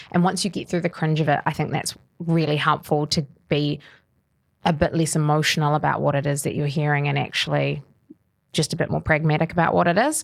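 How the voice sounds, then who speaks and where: A woman with a New Zealand accent talks at a fairly quick pace, her pitch very deep and low with vocal fry. Her intonation is fairly even. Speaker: mortgage adviser. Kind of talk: casual interview chat. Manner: fast; articulate.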